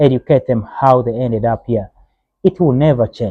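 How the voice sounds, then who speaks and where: At a moderate pace, a man speaks in an African accent at a medium pitch. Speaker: video blogger. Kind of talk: opinion monologue. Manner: impassioned; hesitant fillers.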